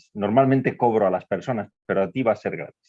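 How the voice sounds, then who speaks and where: Here a man talks in a fairly low pitch with ordinary pitch variation. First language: Spanish. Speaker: professor. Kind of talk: live interpreting in a video conference.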